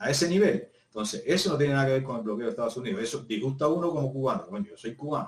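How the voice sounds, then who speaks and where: A man at a very fast pace, medium in pitch, with lively intonation and a somewhat breathy sound. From Cuba, Havana province. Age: 50s. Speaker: physical education teacher. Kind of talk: casual interview conversation.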